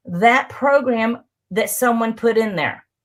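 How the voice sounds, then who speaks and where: The woman's voice sits at a high pitch. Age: 60s. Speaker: hypnotist. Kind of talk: interview on live broadcast.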